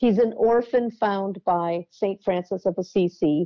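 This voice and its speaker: Dark and mellow in tone, a woman at medium pitch with an American accent talks at a moderate pace with fairly even intonation, the sound dry and close with no echo. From US Midwest. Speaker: book editor and author. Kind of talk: interview.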